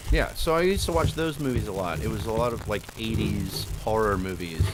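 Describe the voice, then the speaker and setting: A man with an American accent speaks at a fairly quick pace. Music plays in the background, and the room echo is audible. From Oklahoma, US. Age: 30s. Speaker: podcast guest, content creator. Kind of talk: casual chat.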